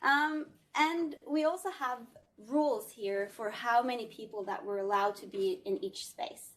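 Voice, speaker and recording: A woman with a Scandinavian accent speaks at a high pitch and a moderate pace. Her pitch swings very widely and her loudness rises and falls a lot. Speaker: tech company product demonstrator. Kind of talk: live product demo. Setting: video call from a meeting room. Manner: casual, filler-heavy.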